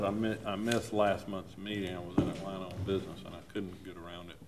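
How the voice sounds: Speaking at a fast pace, a man has a low pitch, a slightly mellow tone and little pitch movement.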